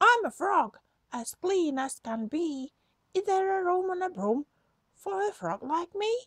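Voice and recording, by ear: In a put-on character voice, a woman talks at an extremely high pitch and a fairly slow pace.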